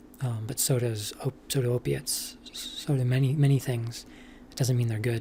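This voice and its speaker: The voice is soft-spoken and moves at a fairly slow pace. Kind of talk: casual rambling monologue.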